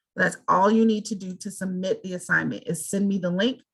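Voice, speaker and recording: This is a normal speaking voice whose intonation stays fairly even as it moves along at a moderate pace. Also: woman. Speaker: college instructor. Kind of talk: online class Q&A.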